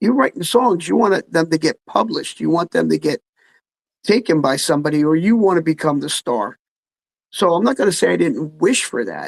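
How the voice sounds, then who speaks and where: A fairly quick voice with a New Jersey accent. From New Jersey, Freehold. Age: 60s. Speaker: musician. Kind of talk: casual chat.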